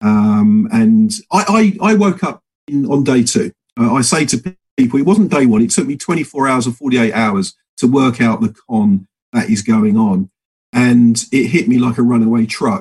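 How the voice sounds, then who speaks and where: A man with an English accent, fairly slow, with very wide pitch swings and very even loudness. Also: medium pitch for a man. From England. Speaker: political activist. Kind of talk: casual chat.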